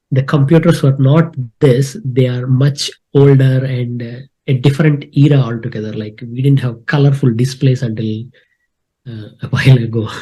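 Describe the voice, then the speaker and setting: A man with a medium pitch and dark, mellow tone speaks somewhat breathily at a moderate pace, his intonation fairly even but his loudness swinging widely. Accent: Telugu. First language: Telugu. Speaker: spreadsheet expert, content creator. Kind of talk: live tutorial / screen-share challenge. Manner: hesitant with many fillers.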